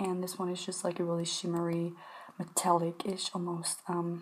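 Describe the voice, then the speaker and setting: Soft-spoken and calm in tone, a woman speaks at a fairly low pitch. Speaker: ASMR creator. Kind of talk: casual talk to camera, shopping haul. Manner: soft-spoken, calm. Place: home room.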